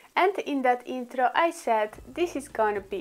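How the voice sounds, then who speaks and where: A woman with a Polish accent, lively intonation and a fairly slow pace. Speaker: beauty vlogger. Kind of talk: makeup tutorial. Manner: halting.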